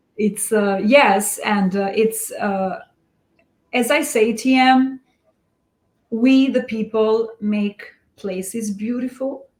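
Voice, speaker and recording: In an Albanian accent, a woman talks at a very slow pace with a fairly high pitch, leaving long, frequent pauses. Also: ordinary pitch variation. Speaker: real estate investor. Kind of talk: podcast interview.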